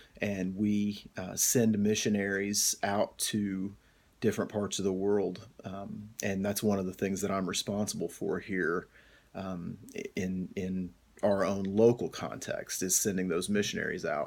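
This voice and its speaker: With an American accent, a man talks at a fairly slow pace and a fairly low pitch. His intonation is monotone and flat, and the recording is very clean with a silent background. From US Appalachia, northeast Kentucky. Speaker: pastor and graduate student. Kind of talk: course introduction video. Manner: hesitant, many fillers.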